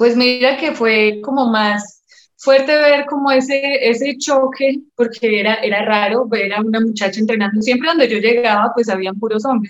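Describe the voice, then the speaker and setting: A woman with an unremarkable speaking voice talks at a moderate pace with hardly any pauses. Her pitch is fairly high and her intonation fairly even. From Colombia, Medellín. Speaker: professional MMA fighter. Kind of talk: interview.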